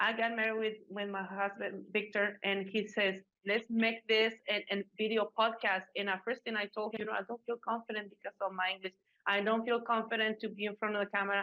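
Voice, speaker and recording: In a dry, close recording with no echo, a woman speaks fairly quickly in a fairly high pitch, her tone bright and sharp and her intonation flat and monotone. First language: not English. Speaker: podcast presenter. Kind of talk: interview. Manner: halting.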